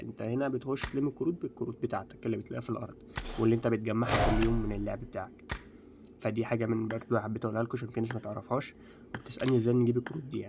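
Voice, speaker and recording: A hoarse man's put-on character voice at medium pitch, very fast, with music in the background. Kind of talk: casual video-game YouTuber.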